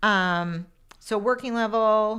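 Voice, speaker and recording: Loud and bright with a sharp tone, a woman's voice shows ordinary pitch variation. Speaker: dog trainer. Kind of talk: casual chat.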